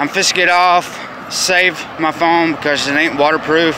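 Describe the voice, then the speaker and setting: A man speaks at a fairly slow pace in a dry sound with no echo. Loud background noise is present. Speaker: vlogger. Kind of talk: casual vlog chat. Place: street. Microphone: phone near.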